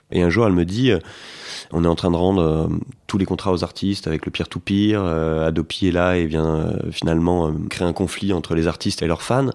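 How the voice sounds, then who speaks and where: Fairly even intonation marks this speaker. He is a man with a very deep, low pitch. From Paris, France. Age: 30s. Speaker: entrepreneur. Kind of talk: interview. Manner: hesitant, many fillers and repetitions.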